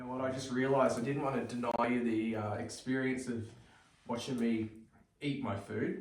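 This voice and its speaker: A man speaks at a medium pitch in an Australian accent. Audible room echo and noticeable background noise surround his voice. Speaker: hiking vlogger. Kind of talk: casual vlog narration. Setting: outdoors at a campsite by a fire. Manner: relaxed, conversational.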